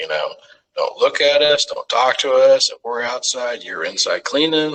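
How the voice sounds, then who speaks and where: A man talks with a Texan accent. His pace is moderate. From Texas, Arlington. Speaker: firefighter paramedic. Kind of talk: casual interview storytelling. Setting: podcast.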